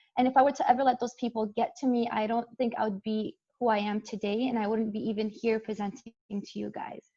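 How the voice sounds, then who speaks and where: Very fast and with hardly any pauses, a woman speaks at a fairly high pitch in a somewhat breathy, dark, mellow tone with fairly even intonation. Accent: Arabic. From Jordan, moved to Canada at 12. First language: Arabic. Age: 20s. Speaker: engineering student and model giving a talk. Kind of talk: invited talk.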